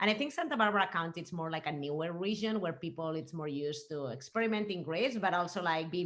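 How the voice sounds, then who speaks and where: A woman speaks with a Spanish accent at a fairly low pitch. Her intonation is lively and her pace fairly quick. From Spain. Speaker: winemaker. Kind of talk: casual interview chat.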